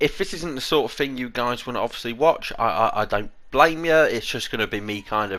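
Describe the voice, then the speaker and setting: On a very clean recording with a silent background, a man with a British accent and a bright, sharp tone speaks at a fairly quick pace with ordinary pitch variation. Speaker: gaming YouTuber. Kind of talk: casual commentary.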